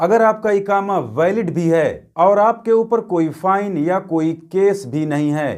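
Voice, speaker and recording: A man talks at a fairly slow pace in a high voice with ordinary pitch variation. The recording is very clean, with a silent background. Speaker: news vlogger. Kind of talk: news explainer vlog.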